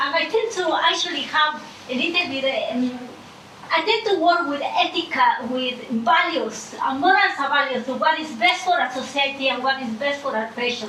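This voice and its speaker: Projecting a raised voice, a woman with a non-native accent and high pitch speaks at a moderate pace with lively intonation, amid noticeable background noise and audible room echo. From Ecuador. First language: Spanish. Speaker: audience member asking questions. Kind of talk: audience question at panel. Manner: halting.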